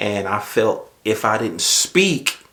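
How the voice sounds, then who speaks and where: In a strong Southern US accent, a man of medium pitch speaks with a bright, sharp tone. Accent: strong Southern drawl. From US South. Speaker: YouTuber, manager and assistant pastor. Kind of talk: casual vlog talk. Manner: conversational, with fillers.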